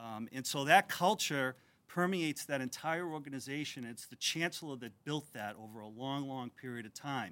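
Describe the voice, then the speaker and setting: A man with a Massachusetts accent speaks at a moderate pace in a bright, sharp tone, with a fairly high pitch and ordinary pitch variation. The recording is very clean, with a silent background. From Methuen, Massachusetts. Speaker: board of trustees chair. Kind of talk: ceremony speech.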